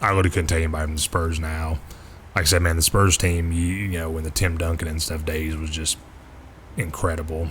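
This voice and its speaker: Very fast and monotone, a man in a Kentucky accent speaks with a very deep, low pitch and flat intonation. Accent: Kentucky-sounding. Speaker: flight sim streamer. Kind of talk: casual chat.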